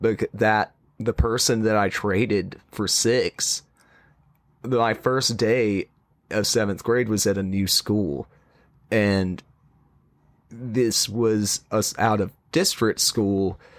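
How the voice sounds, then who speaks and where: Pausing long and often, a man with a Southern US accent and fairly low pitch speaks at a very slow pace with fairly even intonation and very even loudness, in a dry, close sound with no echo on a very clean recording with a silent background. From US South. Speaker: podcast guest, gamer. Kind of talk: casual interview chat.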